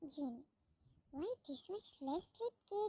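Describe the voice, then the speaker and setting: Using a squeaky put-on character voice, a woman speaks at an extremely high pitch and a fairly slow pace, her pitch swinging very widely. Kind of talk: fan fiction read-aloud. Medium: read story. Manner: reads speaker names aloud.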